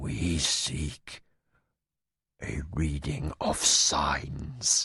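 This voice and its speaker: A man's put-on character voice, growling and whispering, quiet. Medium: read story. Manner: quiet, cold, menacing.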